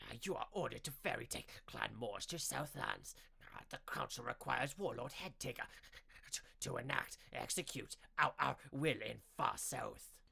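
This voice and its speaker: A man puts on a character voice, pitched fairly high for a man. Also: moderate pace. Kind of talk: audiobook narration. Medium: read story. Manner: halting, twitchy.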